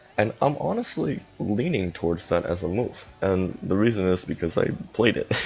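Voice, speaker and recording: A man with a fairly low pitch and ordinary pitch variation over noticeable background noise. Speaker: chess streamer. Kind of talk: live stream commentary. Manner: fast; halting, many fillers.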